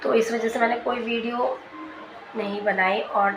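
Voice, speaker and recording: Quiet and fairly slow, a woman speaks at a fairly high pitch with fairly even intonation, amid noticeable background noise and audible room echo. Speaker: vlogger. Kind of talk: casual vlog talk.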